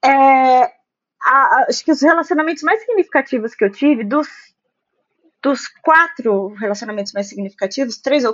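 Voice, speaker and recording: A woman talks in a high pitch with lively intonation. She leaves long, frequent pauses. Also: moderate pace. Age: 30s. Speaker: office worker in foreign trade. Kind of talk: casual chat.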